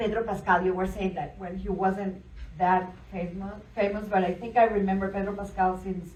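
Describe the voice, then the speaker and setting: A woman speaks with a strong Spanish accent in a monotone, flat intonation. Noticeable background noise and audible room echo are present. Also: medium pitch for a woman, moderate pace. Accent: thick Spanish. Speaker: event host. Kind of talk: panel Q&A moderation.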